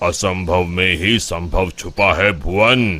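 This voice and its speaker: In a cartoonish character voice, a man talks at a fairly slow pace with a very deep, low pitch. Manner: calm, measured.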